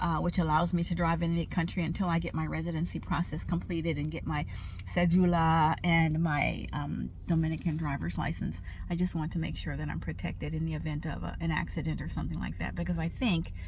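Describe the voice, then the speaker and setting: A woman at a fairly quick pace, with audible room echo. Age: 70s. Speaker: retired doctor turned expat vlogger. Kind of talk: casual vlog. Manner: halting, many fillers.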